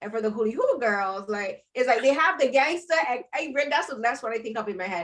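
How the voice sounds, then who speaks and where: A woman with a Barbadian accent, high-pitched and lively in intonation, at a fairly quick pace with hardly any pauses. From Barbados. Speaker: podcast host and film critic. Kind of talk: roundtable interview. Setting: video call. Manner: halting, many fillers.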